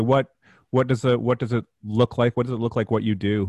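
Speaking at a fairly quick pace, a man with a plain, everyday voice keeps a medium pitch and fairly even intonation. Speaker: podcast host. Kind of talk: interview.

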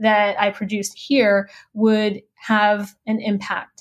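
A woman's medium-pitched, monotone, flat voice with an American accent, in a very clean recording with a silent background. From US South, Laredo Texas on the Mexican border. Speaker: sociology professor. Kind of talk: interview.

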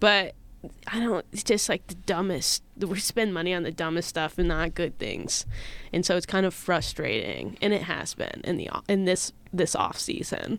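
Vocal fry runs through this voice, which keeps fairly even intonation at a moderate pace. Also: woman, medium pitch for a woman. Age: 20s. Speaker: podcast guest, baseball fan. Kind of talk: casual chat.

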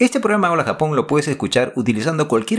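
On a very clean recording with a silent background, a man's fairly high voice swings very widely in pitch and shows vocal fry. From Peru, Lima. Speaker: podcast host. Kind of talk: scripted narration.

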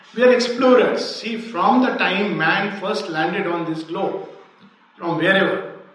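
Amid noticeable background noise and audible room echo, a man speaks fairly slowly in a high voice with lively intonation. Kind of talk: lecture.

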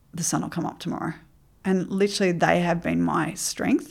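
A woman speaks with an Australian accent. The recording is very clean and the background silent. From Queensland, Australia (Ipswich). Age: 50s. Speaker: remedial therapist and life coach. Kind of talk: interview.

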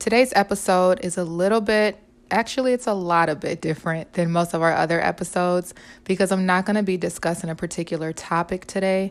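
A woman talks at a very fast pace in a warm tone of medium pitch, with ordinary pitch variation. The recording is very clean, with a silent background. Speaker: podcast host and teacher. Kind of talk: poem reading. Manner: warm, earnest, encouraging.

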